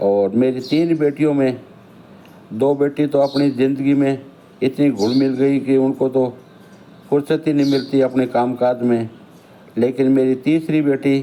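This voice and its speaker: A dark, mellow tone in a flat monotone, broken by long, frequent pauses. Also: man. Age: 60s. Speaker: elderly vlogger telling his life story. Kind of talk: autobiographical monologue.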